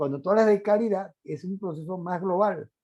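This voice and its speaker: Speaking at a moderate pace, a man has a high pitch and a dark, mellow tone. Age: 60s. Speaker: lecturer. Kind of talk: lecture. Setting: online conference.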